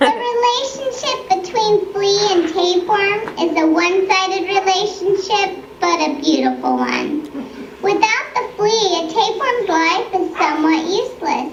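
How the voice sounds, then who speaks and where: A female-sounding, cartoonish character voice at an extremely high pitch, delivered at a moderate pace. Background noise is clearly audible. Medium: puppet show. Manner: genteel, coy.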